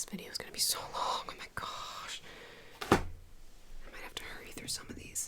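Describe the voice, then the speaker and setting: The voice is whispering, with long, frequent pauses. Noticeable background noise runs underneath. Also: woman, fairly quick pace. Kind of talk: ASMR soft-spoken talk to camera. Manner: soft-spoken.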